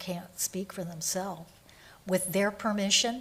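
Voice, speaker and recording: Breathing audibly in her voice, a woman speaks at a moderate pace. Her medium pitch stays fairly even in intonation. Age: 70s. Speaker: state agency secretary. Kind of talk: legislative hearing testimony.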